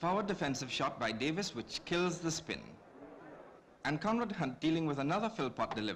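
A man with an excited tone, fairly high pitch, vocal fry, lively intonation and a fairly quick pace. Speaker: cricket commentator. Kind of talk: 1965 cricket film commentary, scripted newsreel-style narration. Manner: brisk, clipped, formal newsreel delivery; measured, polished, gently excited at key moments.

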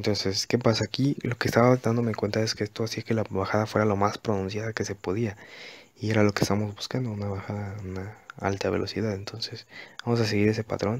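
A man's fairly low, monotone, flat voice at a fairly quick pace, dry and close with no echo. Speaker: gaming youtuber. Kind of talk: voiceover narration of gameplay. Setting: recording away from home. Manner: hesitant, many fillers.

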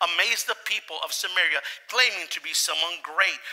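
The pitch varies in an ordinary way at a moderate pace. The tone is bright and sharp. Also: man, high pitch for a man.

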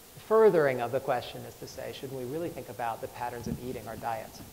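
Over light background noise, a man with an American accent talks at a very fast pace. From US. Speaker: chef; speaker. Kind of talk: talk to live audience. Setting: stage with audience. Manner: halting. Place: stage. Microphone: lapel.

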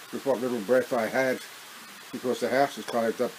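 Flat, monotone intonation from a man, set against noticeable background noise. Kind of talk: casual vlog chat. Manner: breathless, halting speech with pauses. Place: home room. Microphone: webcam.

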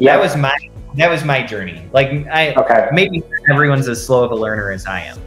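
Faint music sits behind a man speaking at a moderate pace, with room echo audible. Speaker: interview guest. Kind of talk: interview answer. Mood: relaxed, friendly. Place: home room. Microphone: video call.

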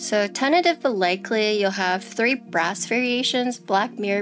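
A woman talks at a fairly slow pace. Faint music plays in the background. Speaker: keyboard streamer. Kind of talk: casual livestream product showcase. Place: home room.

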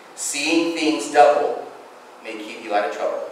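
Strong room echo surrounds a man's voice, with light background noise underneath. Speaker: guest preacher. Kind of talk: sermon. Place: church. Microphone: podium.

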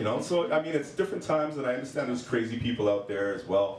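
A man talks with ordinary pitch variation. There is audible room echo along with light background noise. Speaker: hot topics panelist; panelist. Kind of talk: casual chat. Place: cafe.

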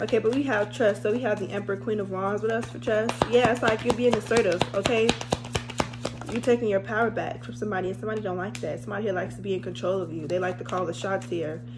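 Clear music sits behind the recording. Her delivery comes very fast. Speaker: tarot reader. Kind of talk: casual tarot reading chat. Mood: playful, laughing, blunt. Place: home room. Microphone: phone near.

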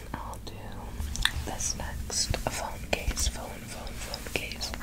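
Whispering throughout. The pace is very slow. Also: woman. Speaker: ASMR creator. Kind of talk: ASMR tapping video, gentle whispered talk to camera. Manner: soft, whispered, repetitive trigger words. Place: home room. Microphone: phone near.

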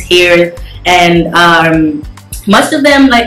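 Audible room echo and light background noise around a woman's speech. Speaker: guest. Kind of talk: casual chat interview answer. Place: home room. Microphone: phone near.

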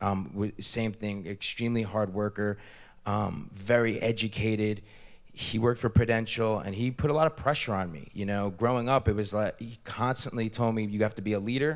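A man with an American accent speaks in a normal speaking voice at a moderate pace. His pitch varies in an ordinary way against a quiet background. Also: fairly low pitch for a man. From US, New Jersey. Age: 30s. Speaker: entrepreneur and investor; guest. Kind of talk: interview. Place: hall. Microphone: handheld.

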